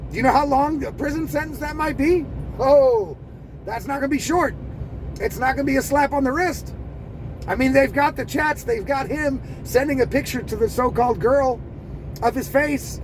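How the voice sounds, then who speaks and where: A man with an extremely high pitch speaks in an animated tone at a moderate pace. His pitch varies in an ordinary way, with noticeable background noise. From United States. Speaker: commentator. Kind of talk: rant.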